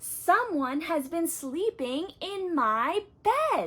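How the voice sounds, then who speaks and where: A put-on, growling character voice at a very slow pace. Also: woman, extremely high pitch for a woman. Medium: read story.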